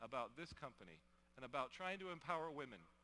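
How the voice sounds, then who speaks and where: A man's bright, sharp tone carries a fairly high pitch, vocal fry and lively intonation. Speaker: company co-founder giving keynote. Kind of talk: motivational convention speech. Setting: stage with audience.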